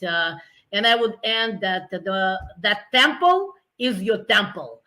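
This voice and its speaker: A woman with a Russian accent speaks in a bright, sharp tone with lively intonation. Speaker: nonprofit founder. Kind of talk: interview. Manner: animated.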